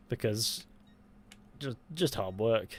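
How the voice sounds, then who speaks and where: This man's voice sits at a medium pitch, with a British accent. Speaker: gaming streamer. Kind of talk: casual live stream chat. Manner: soft-spoken.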